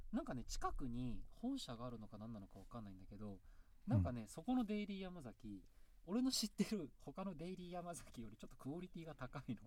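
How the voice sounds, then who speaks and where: Very wide pitch swings and big swings in loudness mark a man's fairly quick speech at a fairly high pitch. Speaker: band vocalist and podcast host. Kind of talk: casual chat.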